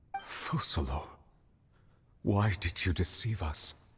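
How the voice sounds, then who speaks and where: This man uses a put-on character voice, pitched very deep and low. He talks at a fairly slow pace. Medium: video game. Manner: formal, measured, serious.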